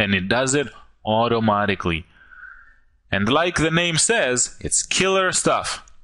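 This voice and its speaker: Over a quiet background, a man with a non-native accent speaks at a fairly slow pace in a bright, sharp tone at medium pitch, with very wide pitch swings, very even loudness and long, frequent pauses. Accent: foreign accent, self-described as goofy. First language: not English. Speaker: online marketer. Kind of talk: sales pitch. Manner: animated.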